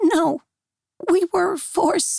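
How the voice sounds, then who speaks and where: A put-on character voice, raspy and pitched extremely high. It is delivered quietly. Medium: read story. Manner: hushed, hesitant.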